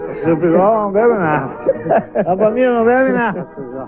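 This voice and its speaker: A man's high voice, fairly quick and lively in intonation, with big swings in loudness and noticeable background noise. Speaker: TV presenter. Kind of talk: TV travel program narration and interview.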